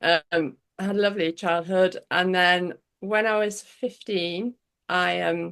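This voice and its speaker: With an English accent, a woman speaks at a very slow pace and a medium pitch, with ordinary pitch variation against a quiet background. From northwest England, Cheshire. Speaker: pyrography artist. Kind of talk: interview. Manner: halting.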